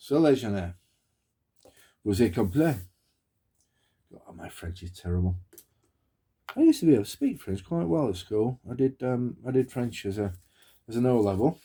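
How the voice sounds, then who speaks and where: With a Yorkshire accent, a man with a medium pitch and a dark, mellow, somewhat breathy tone talks at a moderate pace with lively intonation and big swings in loudness. He takes long, frequent pauses, and the recording is very clean with a silent background. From Yorkshire, northern England. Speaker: wargaming hobby vlogger. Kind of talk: casual vlog talk.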